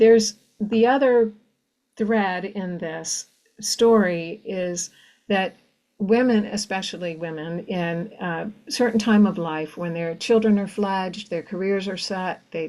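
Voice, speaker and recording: This woman speaks very slowly, with a dark, mellow tone. Her pitch is medium and varies in an ordinary way. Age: 60s. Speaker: novelist. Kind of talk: conversational interview. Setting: virtual event. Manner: halting with many fillers.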